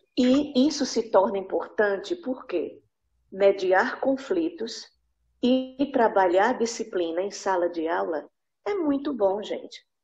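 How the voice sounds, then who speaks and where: A woman's very slow voice with very wide pitch swings over music in the background. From Northeast Brazil, Recife, Pernambuco. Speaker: English teacher, workshop participant. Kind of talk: participant comment.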